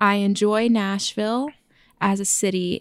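In an unremarkable speaking voice, the speaker goes at a fairly slow pace, recorded very cleanly against a silent background with a dry, close sound and no echo. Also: woman. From Oklahoma, small town. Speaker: podcast co-host. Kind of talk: casual chat.

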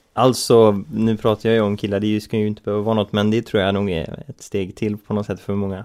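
Monotone, flat intonation at a very fast pace with hardly any pauses. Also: man, fairly low pitch for a man. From Sweden. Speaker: podcast co-host. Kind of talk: casual chat. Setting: studio.

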